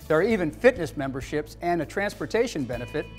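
With faint music in the background, a man talks at a fairly high pitch with lively intonation. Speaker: TV news-style anchor / presenter. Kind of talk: TV infomercial news anchor read. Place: studio.

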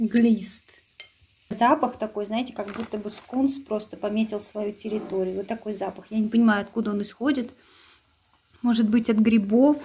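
A woman at a moderate pace, fairly even in intonation, with long, frequent pauses and light background noise. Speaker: food reviewer. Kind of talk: casual vlog chat. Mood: sarcastic, disappointed. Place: kitchen. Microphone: phone near.

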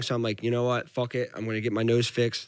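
With a strong Philadelphia accent, a man talks at a very fast pace over a quiet background, the sound dry with no echo. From Philadelphia, US. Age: 20s. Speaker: professional MMA fighter. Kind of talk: casual interview chat. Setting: studio. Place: studio. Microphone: studio mic.

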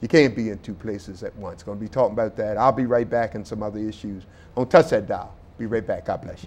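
A man with an American accent, very fast pace, animated tone and big swings in loudness. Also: ordinary pitch variation. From US Mid-Atlantic. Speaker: talk show host. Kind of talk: interview. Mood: warm, earnest. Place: studio. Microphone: lapel.

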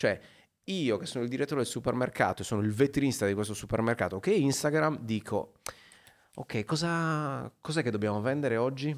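Lively intonation in a Sardinian accent at a fairly quick pace, against a quiet background. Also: man. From Sardinia, Macomer; Sardinia, Italy. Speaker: photographer and teacher; teacher. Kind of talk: casual interview chat. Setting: studio. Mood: relaxed, chatty. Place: studio. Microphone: studio mic.

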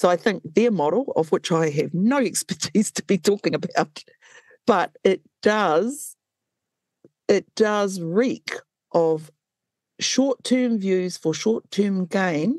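Speaking in a New Zealand accent at a very slow pace with long, frequent pauses, the voice has lively intonation and a dry, close sound with no echo. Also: woman, medium pitch for a woman. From New Zealand, Waikato. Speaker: traditional Māori healer and health policy advisor. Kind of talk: interview. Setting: video call. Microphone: possible audio issues over Zoom.

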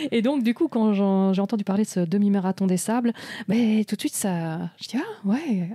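This woman has a dark, mellow, somewhat breathy tone at medium pitch. She speaks at a moderate pace with ordinary pitch variation, and the sound is dry and close with no echo. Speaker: podcast host. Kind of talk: casual interview. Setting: event venue in Paris.

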